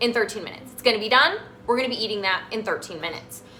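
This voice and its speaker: A woman speaks in an animated tone. Noticeable background noise runs under her voice. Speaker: health coach and cooking show host. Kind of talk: live cooking demonstration.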